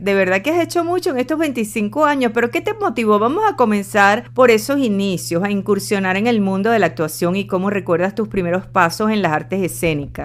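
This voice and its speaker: Talking at a fairly quick pace with hardly any pauses, a woman at medium pitch makes very wide pitch swings. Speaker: radio host. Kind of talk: radio interview host.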